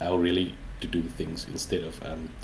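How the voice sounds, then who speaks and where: A man's very deep, low voice with a South African accent, at a fairly slow pace. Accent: Afrikaans South African English. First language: Afrikaans. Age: 40s. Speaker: indie game developer. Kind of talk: interview. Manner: halting, many fillers.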